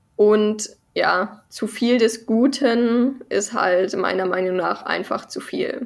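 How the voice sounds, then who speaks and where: A woman's fairly high voice moves very slowly, its pitch shifting in an ordinary way. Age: 20s. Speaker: research associate in sport gerontology. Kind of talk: casual chat. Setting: video call.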